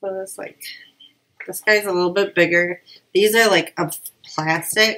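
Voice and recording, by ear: At a fairly slow pace, a woman speaks at a medium pitch with a fairly bright tone.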